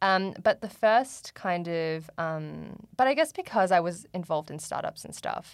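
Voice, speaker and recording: On a very clean recording with a silent background, a woman speaks at a moderate pace in a fairly low pitch with ordinary pitch variation. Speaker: university student, former student club president. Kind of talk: casual interview. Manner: hesitant, many fillers.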